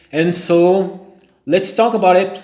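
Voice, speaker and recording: A man with a Brazilian accent, very slow in pace, with ordinary pitch variation. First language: Portuguese. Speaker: language learner. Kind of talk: vlog monologue. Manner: halting, self-correcting.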